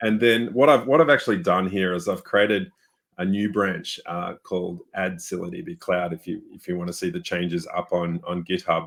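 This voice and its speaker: Speaking at a moderate pace in an Australian accent, a man with a fairly low voice uses lively intonation and big swings in loudness. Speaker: software developer. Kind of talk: webinar chat. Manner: casual, many fillers.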